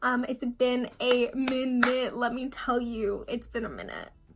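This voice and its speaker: A woman uses a raised, projected voice with a bright, sharp tone. Her pitch is high. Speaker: beauty vlogger. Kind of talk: makeup tutorial chat. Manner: casual, filler-heavy.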